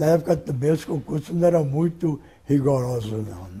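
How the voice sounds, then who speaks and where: A man's dark, mellow, somewhat breathy tone. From Rio de Janeiro state, Brazil. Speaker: retired labour court judge. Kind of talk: oral history interview answer.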